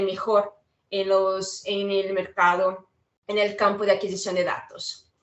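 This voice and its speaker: A woman at a fairly slow pace. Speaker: product specialist for lab equipment. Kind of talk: webinar product presentation. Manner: some hesitation with filler sounds.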